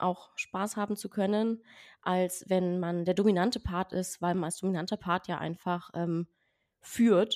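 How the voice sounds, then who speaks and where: In a very clean recording with a silent background and a dry, close sound with no echo, a woman speaks at a very slow pace with fairly even intonation and medium pitch. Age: 20s. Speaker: podcast guest. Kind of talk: casual interview.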